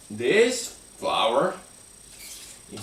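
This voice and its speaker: A man speaks at a very slow pace amid noticeable background noise and audible room echo. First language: not English. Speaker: live streamer. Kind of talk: casual chat. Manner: halting.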